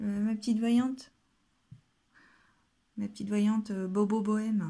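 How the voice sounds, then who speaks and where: Somewhat breathy and dark, mellow in tone, a woman speaks at a fairly slow pace against a quiet background. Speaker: home vlogger. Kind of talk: casual vlog chat. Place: home room.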